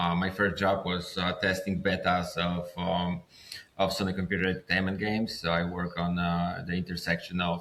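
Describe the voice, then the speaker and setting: A very deep, low-voiced man with a Polish accent, at a moderate pace and in a monotone, flat intonation. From Poland. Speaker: filmmaker. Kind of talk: interview. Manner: halting.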